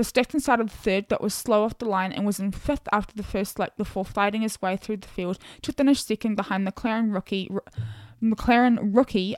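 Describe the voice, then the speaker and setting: A woman with a New Zealand accent speaks at a fairly quick pace and a medium pitch, in a dry, close sound with no echo. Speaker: podcast host. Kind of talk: casual solo podcast monologue. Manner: chatty, animated.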